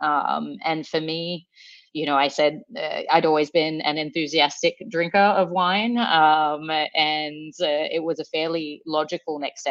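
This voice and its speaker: A woman's very deep, low voice in an Australian accent, with ordinary pitch variation. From Sydney, Australia. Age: 30s. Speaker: startup founder. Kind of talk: podcast interview.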